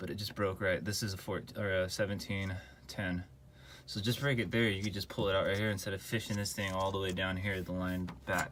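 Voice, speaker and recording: Mumbling at a fairly quick pace, a man with a very deep, low pitch keeps a fairly even intonation. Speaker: car enthusiast doing own repairs. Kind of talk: DIY car repair tutorial. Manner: casual, mumbling.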